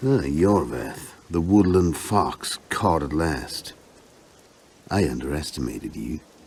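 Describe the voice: In a put-on character voice, a man speaks slowly with lively intonation and an extremely low pitch. His tone is slightly mellow, and there is audible room echo.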